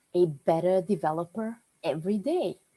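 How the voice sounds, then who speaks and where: Somewhat breathy and dark, mellow in tone, a woman speaks at a fairly slow pace. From Serbia, Novi Sad. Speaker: WordPress developer. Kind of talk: presentation talk. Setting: online meetup.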